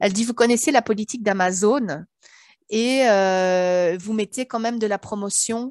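A woman talks at a fairly slow pace with ordinary pitch variation, in a dry sound with no echo and a quiet background. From Belgium. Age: 40s. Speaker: author and sophrologist; interviewee. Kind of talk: interview. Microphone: headset.

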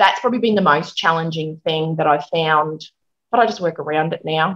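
Against a quiet background, a woman with an Australian accent speaks at a very deep, low pitch, with a bright, sharp tone and ordinary pitch variation. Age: 40s. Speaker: hairdresser and working mum; interview guest. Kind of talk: interview, casual chat. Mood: open, candid, conversational. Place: home room. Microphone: video call.

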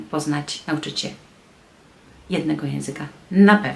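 A woman speaks at a moderate pace. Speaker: translator and tour guide; tour guide. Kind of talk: vlog monologue. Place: home room. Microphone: phone near.

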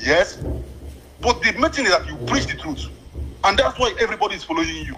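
With a Nigerian accent, a man speaks at a very fast pace over noticeable background noise. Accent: Nigerian Igbo English. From Nigeria, Abia State. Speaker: radio call-in listener. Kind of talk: phone-in call. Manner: quiet.

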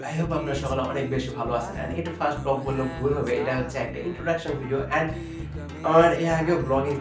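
A man talks in a room with audible echo. Clear music plays in the background. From Bangladesh. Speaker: vlogger. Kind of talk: casual talk to camera. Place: home room. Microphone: phone near.

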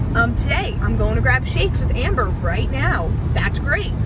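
At a moderate pace, a woman talks over loud background noise, the sound dry with no echo. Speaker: vlogger. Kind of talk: casual vlog chat. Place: car. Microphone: phone near.

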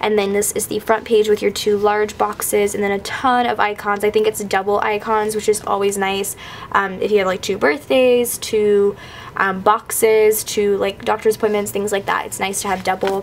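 A woman's enthusiastic, medium-pitched voice at a moderate pace, with noticeable background noise. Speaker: YouTuber. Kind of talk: casual vlog haul. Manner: chatty, enthusiastic.

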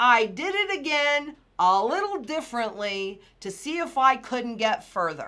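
Bright, sharp tone from a woman with a high pitch, raised and projected, animated, with very wide pitch swings at a fairly slow pace. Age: 60s. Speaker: financial market analyst; financial commentator. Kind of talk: market commentary video. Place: home room.

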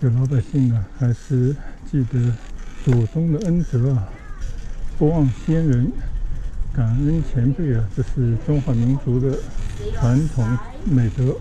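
Speech comes at a very slow pace with long, frequent pauses over light background noise. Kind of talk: casual vlog commentary. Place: bicycle.

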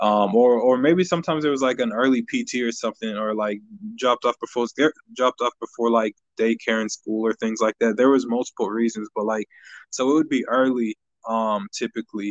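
With an American accent and a plain, everyday voice, a man talks at a fairly quick pace and medium pitch with fairly even intonation, the sound dry and close with no echo against a quiet background. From US Midwest (Kansas, small town). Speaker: musician. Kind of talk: casual chat. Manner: laid-back, slangy.

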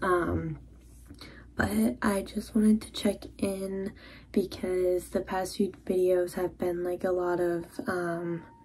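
Her pace is very slow. The woman's intonation stays fairly even. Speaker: vlogger. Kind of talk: casual vlog chat. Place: bathroom. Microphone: phone near.

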